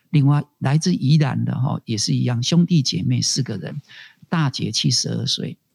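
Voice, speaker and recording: The sound is dry and close, with no echo at all. A man speaks at a moderate pace. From Taiwan, Tainan Annan district. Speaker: community college director. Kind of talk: interview conversation. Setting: remote call.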